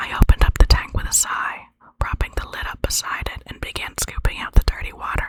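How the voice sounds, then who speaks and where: Whispering at a moderate pace. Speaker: ASMR creator reading own dream stories. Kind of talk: whispered short story reading. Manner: whispered, soft.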